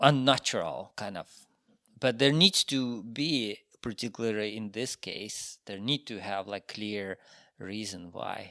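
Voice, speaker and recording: A man with a Ukrainian accent speaks at a fairly slow pace in a fairly low pitch, with ordinary pitch variation, big swings in loudness and a bright, sharp tone. The sound is dry and close with no echo, on a very clean recording with a silent background. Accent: Russian-speaking Ukrainian accent in English. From Ukraine. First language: Russian. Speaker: sculptor. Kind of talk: interview. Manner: halting, many fillers.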